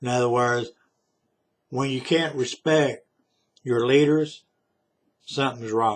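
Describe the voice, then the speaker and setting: A man's medium-pitched voice with a Southern US accent, fairly slow and fairly even in intonation, broken by long, frequent pauses. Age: 60s. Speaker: vlogger. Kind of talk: political monologue. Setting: self-recorded video.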